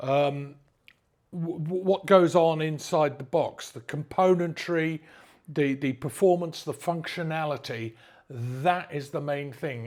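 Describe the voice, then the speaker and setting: Fairly slow speech from a man at a fairly high pitch with ordinary pitch variation, on a very clean recording with a silent background. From England. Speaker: audio brand sales manager. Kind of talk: product presentation. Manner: halting, repeated stammers.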